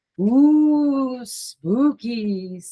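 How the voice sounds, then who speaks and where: A put-on character voice sounds at a fairly high pitch. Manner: spooky, playful.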